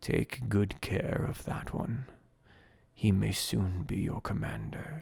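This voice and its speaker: A man speaks at a fairly slow pace in a fairly low, raspy voice. It is a put-on character voice. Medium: read story. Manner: still, calm, ominous.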